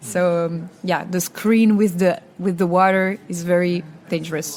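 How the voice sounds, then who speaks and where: Over noticeable background noise, a woman with a Belgian accent speaks at a fairly slow pace. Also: fairly even intonation. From Wallonia, Belgium. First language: French. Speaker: singer, contest entrant. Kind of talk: interview. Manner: halting, many repetitions.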